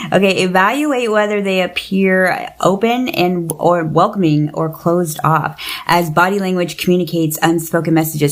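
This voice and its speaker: A woman's fairly low voice with ordinary pitch variation, amid noticeable background noise. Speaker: podcast host. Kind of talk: casual chat. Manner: fast; animated.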